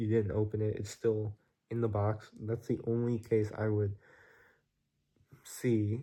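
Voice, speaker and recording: The man has a dark, mellow tone. His pitch sits in the middle range. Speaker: vlogger. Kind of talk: casual vlog monologue. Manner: casual, filler-heavy.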